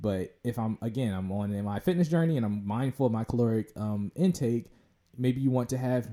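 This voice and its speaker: An unremarkable speaking voice, this man's medium pitch has ordinary pitch variation at a moderate pace. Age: 20s. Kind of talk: casual chat.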